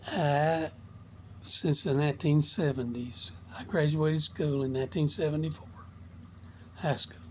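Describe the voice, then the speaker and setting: A man speaks at a moderate pace with lively intonation. His voice is somewhat breathy, and he takes long, frequent pauses. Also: fairly high pitch for a man. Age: 70s. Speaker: motivational vlogger. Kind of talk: casual monologue.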